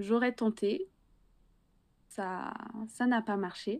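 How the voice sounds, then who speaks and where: Over a quiet background, the speaker's dark, mellow tone unfolds at a very slow pace. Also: woman. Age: young. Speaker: illustrator and graphic designer. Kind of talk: interview.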